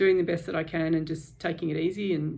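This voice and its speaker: Dark and mellow in tone, a woman's fairly low voice stays monotone and flat. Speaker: vlogger sharing a surgery experience. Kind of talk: personal video diary. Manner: hesitant, many fillers.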